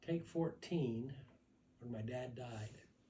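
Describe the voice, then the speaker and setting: A man with a medium pitch has a dark, mellow tone and sounds somewhat breathy. Audible room echo surrounds his voice. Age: 80s+. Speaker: family elder at birthday gathering. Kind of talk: personal storytelling to family. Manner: halting.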